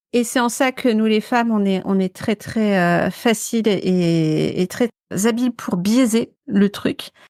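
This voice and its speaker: Captured dry and close with no echo in a very clean recording with a silent background, a woman speaks at a very slow pace and fairly high pitch, with ordinary pitch variation and very even loudness. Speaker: podcast co-host. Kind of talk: casual chat. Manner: halting, many repetitions and fillers.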